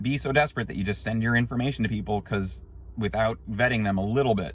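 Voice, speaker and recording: Vocal fry runs through this man's voice. He speaks very fast. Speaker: YouTube vlogger on unemployment issues. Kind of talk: casual vlog update. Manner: animated.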